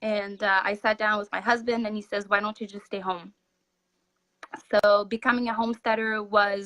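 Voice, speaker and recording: A woman's bright, sharp voice, fairly high in pitch, with fairly even intonation and a French Canadian accent. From Quebec, French Canada. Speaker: homesteader. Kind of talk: casual interview chat. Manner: halting, many fillers.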